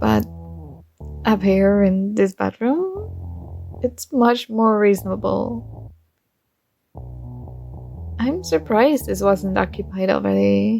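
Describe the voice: A woman does a put-on character voice in a Dutch accent, with vocal fry and a dark, mellow tone. She speaks slowly with long, frequent pauses as faint music plays in the background. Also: medium pitch for a woman, lively intonation.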